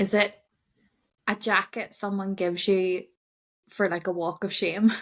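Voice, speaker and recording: With a Belfast accent, a woman speaks fairly slowly in a flat monotone at medium pitch, recorded very cleanly over a silent background. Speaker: podcast co-host. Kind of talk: casual podcast chat.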